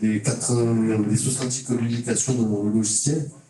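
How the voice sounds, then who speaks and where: There's noticeable background noise and audible room echo around this recording. A man talks at a moderate pace and medium pitch. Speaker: teacher educator, mathematics. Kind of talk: conference talk. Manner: halting, many hesitations.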